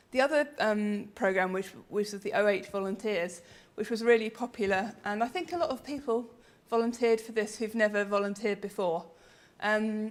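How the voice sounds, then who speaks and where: A fairly high-pitched woman's voice with an English accent and ordinary pitch variation. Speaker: researcher and conference speaker. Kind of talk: conference presentation. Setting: conference with audience. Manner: hesitant, many ums.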